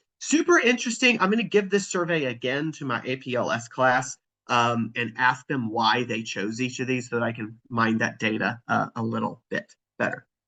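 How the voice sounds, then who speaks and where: This man speaks with an American accent at a moderate pace and medium pitch. His tone is bright and sharp, with ordinary pitch variation. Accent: Southern US, thickens over time. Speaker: physics professor. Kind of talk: webinar presentation.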